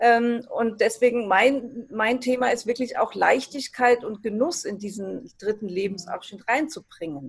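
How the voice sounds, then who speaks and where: This woman has a normal speaking voice at a fairly high pitch with ordinary pitch variation. She speaks at a fairly slow pace, with hardly any pauses. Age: 60s. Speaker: retirement transition coach. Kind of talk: interview.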